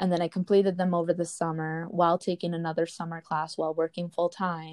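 Speaking in an American accent, a woman uses a fairly low pitch and monotone, flat intonation in a dry, close recording with no echo. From Wisconsin, rural. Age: 20s. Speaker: podcast co-host, college student, YouTuber. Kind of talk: casual chat.

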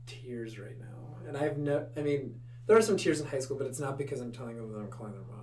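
Fairly quick delivery with fairly even intonation. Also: man. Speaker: high school teacher and dancer. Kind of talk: casual interview conversation. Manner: fast talker.

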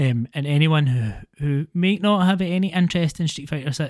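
A man with a Scottish accent talks at a moderate pace in a fairly high voice with ordinary pitch variation. The sound is dry and close, with no echo. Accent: Scottish, slight to moderate. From Scotland. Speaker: gaming podcast host. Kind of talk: casual chat.

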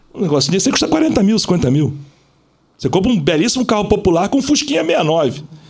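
A man's high-pitched voice with very wide pitch swings, very even loudness and a fairly quick pace, amid audible room echo. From Rio de Janeiro (Zona Sul). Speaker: police officer and celebrity bodyguard. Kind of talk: casual chat.

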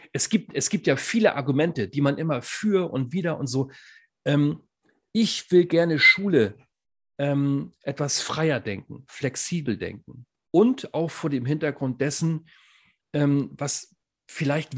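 This man speaks very slowly in a fairly high, somewhat breathy voice with lively intonation and long, frequent pauses. The background is quiet. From northern Germany. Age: 40s. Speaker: podcast co-host, former teacher and coach. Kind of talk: casual chat.

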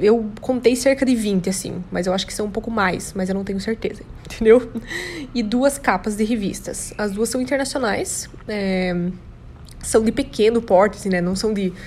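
With noticeable background noise, a woman speaks at a moderate pace in an animated tone, her fairly high pitch showing ordinary variation. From Brazil, Santa Catarina (São Bento do Sul). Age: 20s. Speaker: model and podcaster. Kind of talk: casual monologue.

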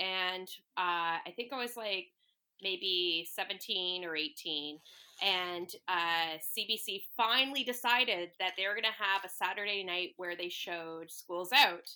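A woman with a bright, sharp tone and medium pitch speaks at a very slow pace. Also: ordinary pitch variation. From Toronto, Canada. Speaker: podcast co-host guest. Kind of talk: casual chat. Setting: video call.

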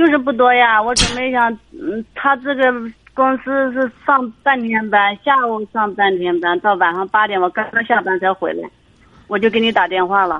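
A woman talks at a moderate pace in an unremarkable speaking voice, her pitch fairly high with ordinary variation. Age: 50s. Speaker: caller seeking marriage advice. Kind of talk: phone-in advice call.

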